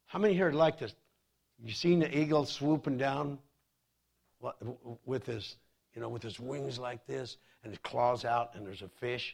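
A man speaks at medium pitch and a moderate pace, with ordinary pitch variation. His loudness swings widely, and he takes long, frequent pauses. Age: 30s. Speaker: pastor. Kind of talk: sermon. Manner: animated.

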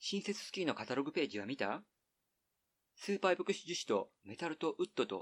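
Vocal fry runs through a man's fairly high voice, which swings very widely in pitch. The sound is dry and close, with no echo. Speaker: podcast host reading an essay aloud. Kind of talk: literary essay reading, slow and evocative, read aloud from a printed text. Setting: outdoors, recorded at a highland ridge.

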